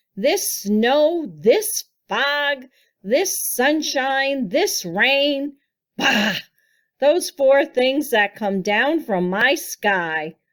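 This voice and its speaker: A woman's put-on character voice, high in pitch with very wide pitch swings, at a very slow pace in a very clean recording with a silent background. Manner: shouting, furious.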